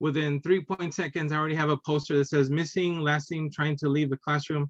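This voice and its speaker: A man's fairly high, flat, monotone voice at a fairly quick pace, dry and close with no echo. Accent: Spanish. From Texas and Illinois. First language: Spanish. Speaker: cartoonist and teacher. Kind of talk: casual interview chat. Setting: video podcast.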